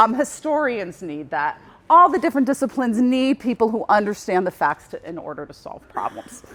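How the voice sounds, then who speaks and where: Pitched fairly high, a woman speaks with vocal fry. Her pitch swings very widely and her loudness shifts a lot. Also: fairly quick pace. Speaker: journalism professor. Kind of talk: conference presentation.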